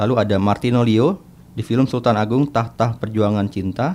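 A man talks at a moderate pace in an ordinary speaking voice. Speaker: film podcast co-host and journalist. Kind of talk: casual chat.

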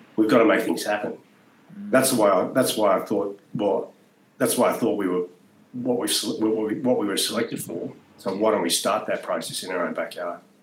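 The talking moves at a moderate pace. Noticeable background noise can be heard. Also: man. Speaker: former special forces soldier. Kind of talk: casual chat.

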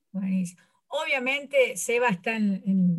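Fairly high-pitched and somewhat breathy, a woman speaks at a very slow pace with lively intonation. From Córdoba, Argentina. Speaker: sports coach. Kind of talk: interview.

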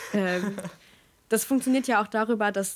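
With lively intonation, a woman in a normal speaking voice talks at a moderate pace. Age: 20s. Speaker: theology student. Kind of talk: casual chat.

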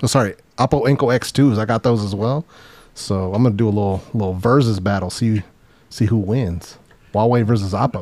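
An ordinary speaking voice from a man, with ordinary pitch variation. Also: fairly low pitch for a man, fairly quick pace. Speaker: guest podcaster, gadget reviewer. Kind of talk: casual chat.

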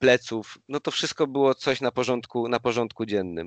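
The man talks at a fairly slow pace with ordinary pitch variation. The sound is dry and close with no echo, over a quiet background. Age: 30s. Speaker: personal trainer. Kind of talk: casual interview chat. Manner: halting, repeats words.

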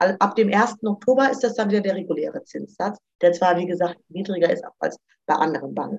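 A woman's plain, everyday voice, a plain, everyday voice at medium pitch, with ordinary pitch variation and a fairly quick pace. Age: 30s. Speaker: student finance advisor. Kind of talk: informational interview.

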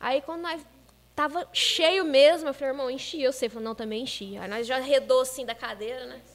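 Her voice high-pitched and animated, a woman speaks at a fairly quick pace with big swings in loudness and ordinary pitch variation. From Minas Gerais, Brazil. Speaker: churchgoer guest. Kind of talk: casual chat.

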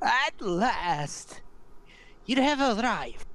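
This is a put-on character voice with a fairly high pitch. It makes very wide pitch swings.

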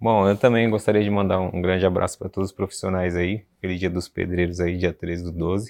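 Against a quiet background, a man with a very deep, low pitch speaks fairly quickly in a monotone, flat delivery with hardly any pauses. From Brazil, São Paulo city. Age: 30s. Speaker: bricklayer. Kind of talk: interview.

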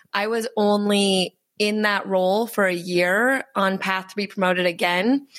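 A woman with an American accent has a normal speaking voice at a medium pitch. Her intonation is fairly even, and the background is quiet. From US Midwest, Wisconsin. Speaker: doula, entrepreneur. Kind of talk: casual interview. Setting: in-person office recording.

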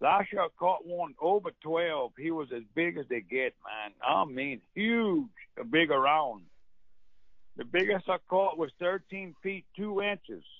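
A man in a Cajun accent speaks with very wide pitch swings. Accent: Cajun Louisiana English. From Central Louisiana. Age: old. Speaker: duck call maker. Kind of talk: casual chat.

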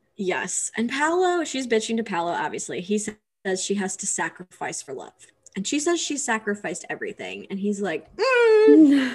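Speaking at a moderate pace with hardly any pauses, a woman uses a fairly high, somewhat breathy voice that makes very wide pitch swings. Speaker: podcast co-host. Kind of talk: casual chat.

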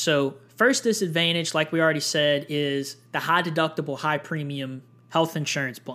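A man's plain, everyday voice, fairly high in pitch, at a moderate pace. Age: 20s. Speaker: podcast host on personal finance. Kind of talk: solo educational podcast monologue. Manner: casual, with frequent fillers.

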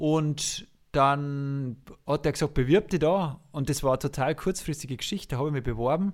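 A man with an unremarkable speaking voice talks at a moderate pace in a fairly high pitch. The recording is very clean, with a silent background. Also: ordinary pitch variation. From Lower Bavaria, Passau district. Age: 40s. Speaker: music teacher and conductor. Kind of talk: casual interview.

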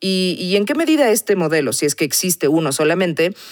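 A woman with a fairly low pitch talks at a moderate pace in a plain, everyday voice. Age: 40s. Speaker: podcast host. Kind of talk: interview.

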